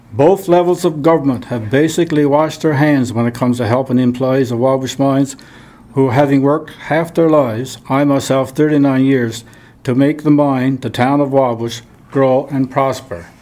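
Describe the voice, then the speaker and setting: Fairly even intonation and a moderate pace from a man at a medium pitch. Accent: Newfoundland. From Newfoundland. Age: 70s. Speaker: retired miner. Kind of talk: reading aloud.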